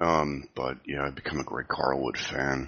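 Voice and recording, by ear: At a moderate pace, a man speaks quietly with an extremely low pitch, little pitch movement and a bright, sharp tone.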